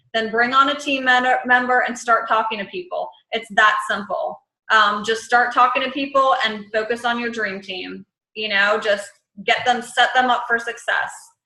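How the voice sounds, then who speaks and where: A woman with fairly even intonation, in audible room echo. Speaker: network marketing team leader. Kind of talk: team conference call. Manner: fast.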